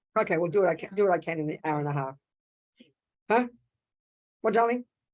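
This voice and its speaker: Speaking at a very fast pace with an Australian accent, a woman uses a fairly low pitch, lively intonation and an animated tone. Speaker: Buddhist nun teacher. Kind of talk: dharma talk.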